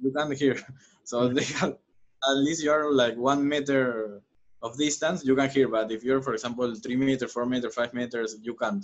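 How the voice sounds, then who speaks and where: A man is speaking at a moderate pace. His intonation stays fairly even. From Peru, Lima; Peru. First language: Spanish. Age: 20s. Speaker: professional footballer; guest. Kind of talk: interview. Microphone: video call.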